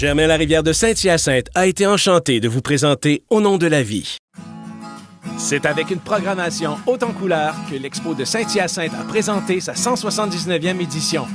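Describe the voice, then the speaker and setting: With music playing in the background, a man speaks at a moderate pace in a high pitch, using lively intonation. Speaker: voice actor. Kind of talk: radio and TV commercial read.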